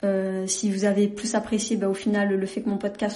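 The speech moves at a moderate pace, and noticeable noise carries on behind it. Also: woman. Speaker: podcast host. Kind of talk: casual monologue. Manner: monotone.

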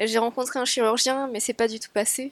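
Her intonation is fairly even. The voice belongs to a woman. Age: 30s. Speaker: architecture firm assistant, weight-loss surgery patient. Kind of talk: interview testimony.

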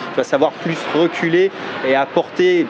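A man with a fairly high pitch talks while noticeable background noise fills in behind him. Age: 40s. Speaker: internet entrepreneur and marketing youtuber. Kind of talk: interview.

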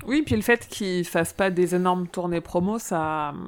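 A woman speaks at a medium pitch and a moderate pace in a plain, everyday voice. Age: 30s. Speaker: fan club organizer. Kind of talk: casual chat.

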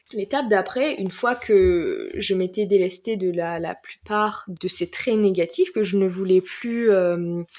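A woman talks at a fairly slow pace with lively intonation and a medium pitch. Hers is a plain, everyday voice. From southern France, Marseille. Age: 20s. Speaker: life coach. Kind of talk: casual chat.

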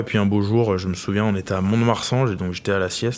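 In a normal speaking voice, a man talks with a fairly low pitch and fairly even intonation. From France, Loire region. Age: 20s. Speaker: professional rugby player. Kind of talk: interview.

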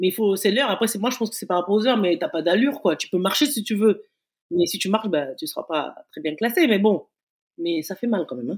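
A woman at medium pitch with very wide pitch swings and a very fast pace, on a very clean recording with a silent background. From Africa. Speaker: retired athlete. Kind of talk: casual interview.

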